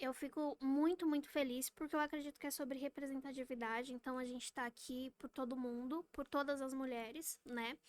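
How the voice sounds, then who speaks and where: A woman with a high pitch and fairly even intonation talks at a moderate pace with hardly any pauses, in a dry, close sound with no echo. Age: 20s. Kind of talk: podcast interview. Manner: talkative.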